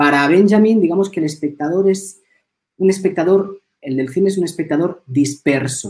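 A man with a dark, mellow tone. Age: 40s. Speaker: film teacher and philosopher. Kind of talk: interview conversation. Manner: hesitant, frequent repetitions.

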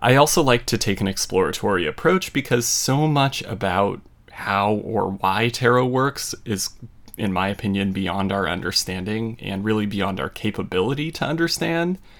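A man with a normal speaking voice talks at a moderate pace, his fairly low pitch carried by lively intonation. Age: 30s. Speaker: tarot podcast host. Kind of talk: solo educational podcast monologue.

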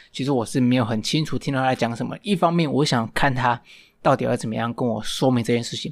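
A very clean recording of a man's voice against a silent background. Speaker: podcast host. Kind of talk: storytelling monologue. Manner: halting, many fillers.

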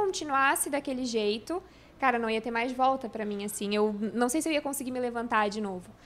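This woman's intonation is lively. Her voice is high-pitched. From Santa Catarina, Brazil (Florianópolis), then Rio Grande do Sul from 14. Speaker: YouTuber, crossfit enthusiast and new mother. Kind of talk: casual interview chat. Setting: podcast studio with cameras.

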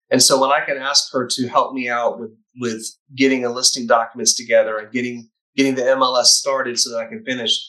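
Speaking at a fairly quick pace, a man with a slight Southern US accent keeps a medium pitch and fairly even intonation. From Chattanooga, Tennessee, US South. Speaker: real estate team leader. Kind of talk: casual interview.

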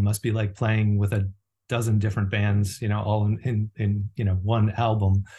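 Against a quiet background, a man speaks at a moderate pace in a fairly low, somewhat breathy voice with a dark, mellow tone and monotone, flat intonation. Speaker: podcast co-host. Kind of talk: casual interview conversation.

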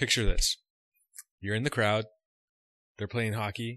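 A man's medium-pitched voice with a bright, sharp tone in a very clean recording with a silent background. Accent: Canadian. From Canada. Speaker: podcast co-host. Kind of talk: casual chat.

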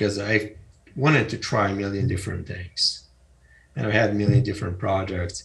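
At a fairly quick pace, a man speaks in a somewhat breathy, fairly low voice. His pitch varies in an ordinary way. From Eastern Europe (Ukraine, former Soviet Union). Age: 50s. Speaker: entrepreneur and author. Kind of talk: interview.

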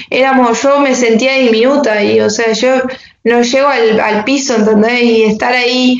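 A woman with a high pitch speaks at a fairly slow pace in a monotone, flat intonation and very even loudness, with audible room echo and noticeable background noise. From Argentina, Entre Ríos. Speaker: motocross and enduro rider. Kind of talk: interview.

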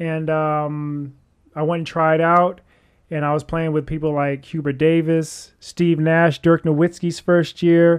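The man's pitch sits fairly high and his intonation is monotone and flat. He talks at a fairly slow pace over a quiet background. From US (military family, partly raised in Kentucky). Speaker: former basketballer and MMA fighter. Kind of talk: interview.

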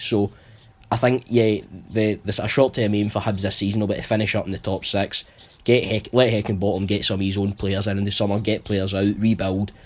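A man speaks with a North Lanarkshire accent at a very fast pace. His intonation is monotone and flat. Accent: Scottish, North Lanarkshire. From North Lanarkshire, Scotland. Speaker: football panelist. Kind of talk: casual chat.

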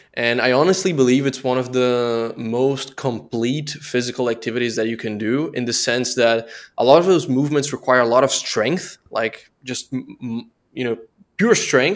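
A man with a Portuguese accent and ordinary pitch variation, in a very clean recording with a silent background. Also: medium pitch for a man, moderate pace. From southern Brazil, Blumenau. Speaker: relocation and tax consultant. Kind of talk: casual chat.

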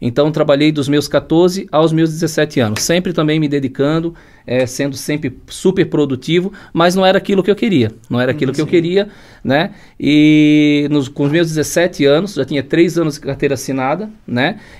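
A man uses an ordinary speaking voice at a moderate pace. His pitch is fairly high, with ordinary variation. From Blumenau, Santa Catarina, southern Brazil. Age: 40s. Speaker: entrepreneur, construction business owner. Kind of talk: podcast interview.

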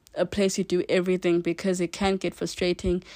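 Recorded very cleanly against a silent background, a woman at medium pitch sounds dry and close with no echo. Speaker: podcast host. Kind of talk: casual solo podcast monologue. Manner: trips over words.

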